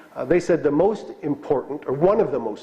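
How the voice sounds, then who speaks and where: Lively intonation lifts a man's plain, everyday voice, pitched fairly high. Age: 60s. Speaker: bishop. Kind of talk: lecture. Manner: conversational, with fillers.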